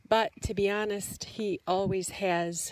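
The speaker is a woman. The sound is dry, with no echo. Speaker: vlogger. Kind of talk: casual vlog chat. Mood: chatty, amused. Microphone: phone near.

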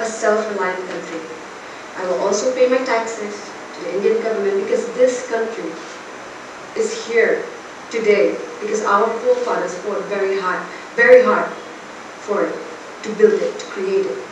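The loudness swings widely, with long, frequent pauses at a moderate pace. Noticeable background noise and audible room echo fill the recording. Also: woman. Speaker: speech or debate performer. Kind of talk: public speech. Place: hall. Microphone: camera far.

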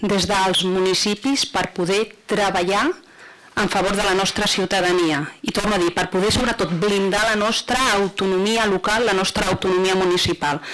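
A woman speaks at a fairly slow pace. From Catalonia. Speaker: provincial councillor. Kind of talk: council debate. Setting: council chamber. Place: hall. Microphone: podium.

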